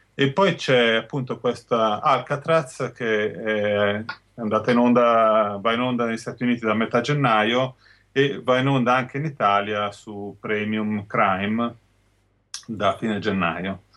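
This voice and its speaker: At a very slow pace, a man speaks with medium pitch and ordinary pitch variation. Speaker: sci-fi website editor, guest. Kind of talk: casual review, TV series discussion.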